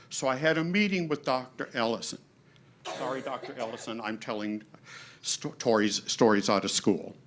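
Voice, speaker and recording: A man's medium-pitched voice with lively intonation at a moderate pace. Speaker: adjunct instructor. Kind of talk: audience question. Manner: loud.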